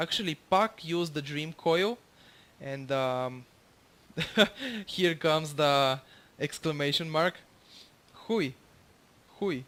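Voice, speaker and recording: A man with a Bulgarian accent speaks at a very slow pace with long, frequent pauses and a fairly high pitch. His loudness swings widely while his pitch variation stays ordinary. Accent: non-native English, Bulgarian. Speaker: gamer commentating own gameplay. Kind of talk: gameplay tutorial commentary. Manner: halting, many fillers.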